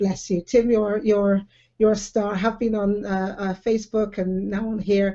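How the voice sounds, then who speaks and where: This voice has a West Country accent and moves at a moderate pace. The intonation stays monotone and flat. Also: woman, medium pitch for a woman. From England, Bristol. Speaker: live video show host. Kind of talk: casual online chat. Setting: live online video hangout.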